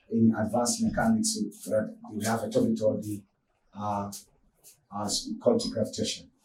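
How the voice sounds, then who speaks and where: With audible room echo, a man's dark, mellow voice swings very widely in pitch. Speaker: physics teacher. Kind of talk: lecture. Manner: fast; halting.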